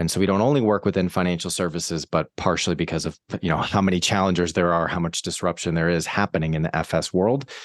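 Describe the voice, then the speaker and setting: A very deep, low-pitched man with an American accent at a very fast pace, the sound dry and close with no echo over a quiet background. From US, Boston. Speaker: marketing agency founder. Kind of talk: interview.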